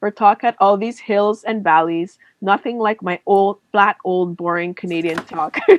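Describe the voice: A quiet background behind plain reading aloud with ordinary pitch variation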